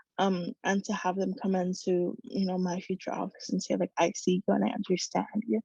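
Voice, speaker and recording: Recorded with a dry, close sound and no echo, a woman talks at a fairly quick pace and a medium pitch, her intonation fairly even and her voice showing vocal fry. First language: Spanish. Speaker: medical student. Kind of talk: speech. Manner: halting.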